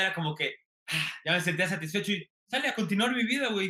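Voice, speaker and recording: A man's sing-song, raised, projected voice with a Mexican accent, high-pitched with ordinary pitch variation, at a fairly quick pace. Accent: regional sing-song Mexican. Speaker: TikTok comedian and content creator. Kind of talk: interview. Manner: sing-song intonation.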